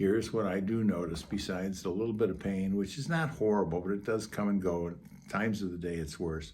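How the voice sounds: A man's low, raspy voice, slightly mellow in tone, fairly even in intonation and at a fairly quick pace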